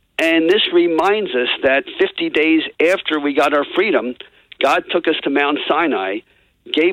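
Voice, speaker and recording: A man with a normal speaking voice, fairly high in pitch, at a fairly slow pace. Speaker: lawyer and political commentator. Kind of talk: political commentary on talk radio.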